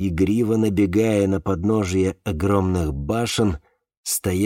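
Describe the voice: A quiet backdrop behind plain reading aloud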